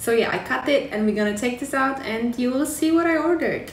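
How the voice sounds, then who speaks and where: At a moderate pace, a woman speaks amid audible room echo and light background noise. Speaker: vlogger. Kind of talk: casual vlog chat. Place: home room. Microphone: phone near.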